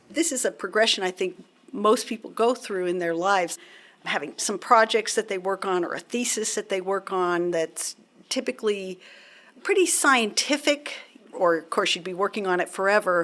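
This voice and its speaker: A woman speaks in a plain, everyday voice at medium pitch. Her pace is moderate and her intonation lively. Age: 60s. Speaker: national laboratory scientist. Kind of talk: casual conversation interview. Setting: recording booth at a university.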